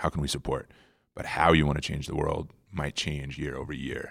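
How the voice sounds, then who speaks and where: Vocal fry runs through this fairly quick delivery in an American accent. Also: man. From US Midwest (hockey town, South Dakota). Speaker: war veteran and outdoor adventurer. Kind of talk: casual interview storytelling. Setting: conference center room. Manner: animated; fast.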